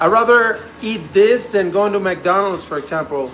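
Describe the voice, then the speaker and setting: Over music in the background and audible room echo, a man with a Spanish accent speaks at a moderate pace with ordinary pitch variation. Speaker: home cooking streamer. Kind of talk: live cooking stream, casual chat. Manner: casual, chatty.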